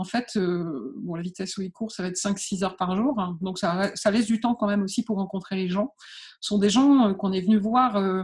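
A woman's somewhat breathy voice at medium pitch, with ordinary pitch variation, a moderate pace and a quiet background. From northern France (Calais). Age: 50s. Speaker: entrepreneur and marathon runner. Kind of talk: interview. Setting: remote interview. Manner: halting.

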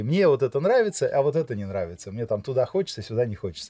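A man speaks at a very fast pace. His fairly high voice is somewhat breathy. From Russia, Yoshkar-Ola (Mari El). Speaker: IT company owner. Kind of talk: casual interview discussion.

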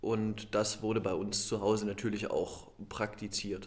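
At a very slow pace, a man speaks in a somewhat breathy voice with a fairly low pitch. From Halle an der Saale, Saxony-Anhalt. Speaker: actor. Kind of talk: interview.

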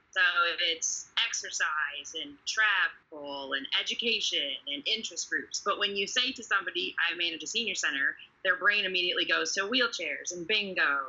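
Against noticeable background noise, a woman talks in a medium pitch at a moderate pace with ordinary pitch variation. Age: 40s. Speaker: senior services manager. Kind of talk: casual chat.

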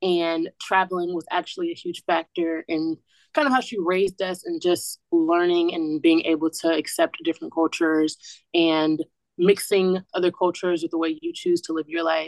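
In a normal speaking voice, a woman with an American accent speaks at a moderate pace with a fairly low pitch and fairly even intonation, the sound dry and close with no echo. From US South, Atlanta, Georgia. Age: young. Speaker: student podcast host. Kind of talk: casual interview.

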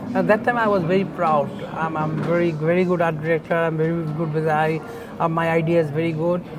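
Over noticeable background noise, a man talks at a very fast pace in a high pitch with fairly even intonation. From Bangladesh. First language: Bengali. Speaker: advertising creative director. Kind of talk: interview. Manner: halting.

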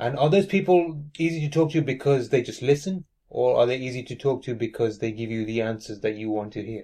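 Against a quiet background, a man with a dark, mellow tone and medium pitch speaks at a fairly quick pace with lively intonation and hardly any pauses. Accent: British. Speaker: podcast host, son. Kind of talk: casual family chat.

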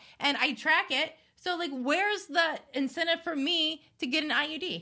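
A raised, projected woman's voice with an American accent, high-pitched, bright and sharp, at a moderate pace with ordinary pitch variation. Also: hardly any pauses. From South Florida. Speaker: comedian and podcast host. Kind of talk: casual chat. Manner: rambling, halting with restarts.

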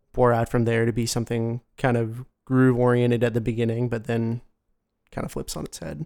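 A man mumbling at a fairly quick pace and medium pitch. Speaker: jazz and hip hop musician. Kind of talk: casual interview.

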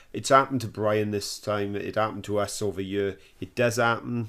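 In a strong Welsh accent, a man talks at a fairly quick pace and fairly low pitch with fairly even intonation, recorded very cleanly against a silent background. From Wales. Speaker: podcast host. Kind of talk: casual chat.

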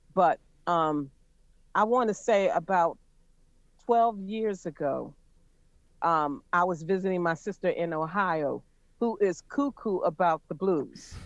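A high-pitched man with an American accent, ordinary pitch variation and long, frequent pauses against a quiet background. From Pittsburgh, Pennsylvania. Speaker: blues and jazz vocalist. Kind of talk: radio interview.

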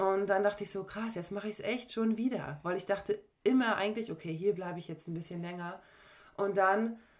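This woman's pitch is medium and varies in an ordinary way. She talks very fast. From Mecklenburg-Vorpommern, Germany (Parchim/Schwerin). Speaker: sports psychologist and former volleyball player. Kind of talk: casual chat.

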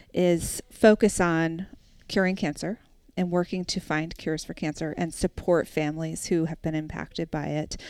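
A woman with an American accent speaks in a plain, everyday voice at a fairly low pitch with fairly even intonation. The recording is very clean, with a silent background. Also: moderate pace. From New Hampshire, US Northeast. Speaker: college savings plan director. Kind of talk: casual interview.

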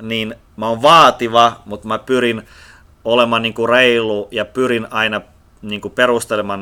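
Using monotone, flat intonation, a man speaks at a moderate pace with a bright, sharp tone. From Russia. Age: 30s. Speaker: entrepreneur. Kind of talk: casual interview.

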